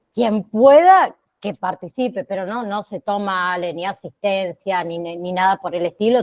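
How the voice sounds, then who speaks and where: A woman speaks with ordinary pitch variation. She has a normal speaking voice. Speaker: online course teacher. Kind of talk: online class. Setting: video call.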